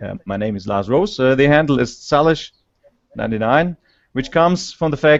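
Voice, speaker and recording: A man speaks with a German accent. His pitch varies in an ordinary way. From Germany. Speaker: scientist presenter. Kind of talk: conference talk. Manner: halting. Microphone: slow internet connection.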